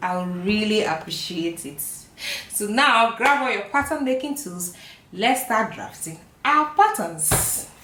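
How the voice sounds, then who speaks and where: Audible room echo surrounds a woman speaking at a fairly slow pace. Her pitch is medium and swings very widely. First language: not English. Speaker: sewing and pattern making teacher. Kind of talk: tutorial.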